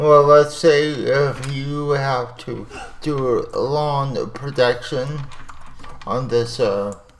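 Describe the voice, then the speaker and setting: In a room with audible echo, a man mumbles at a very slow pace, his fairly high pitch held to fairly even intonation. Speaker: animation software tutorial creator. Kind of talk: tutorial. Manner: mumbling.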